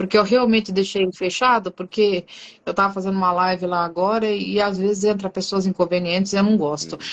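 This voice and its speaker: Delivered at a fairly quick pace, the speech has a monotone, flat intonation. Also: woman, medium pitch for a woman. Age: 50s. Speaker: livestream host. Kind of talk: casual chat. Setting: live stream.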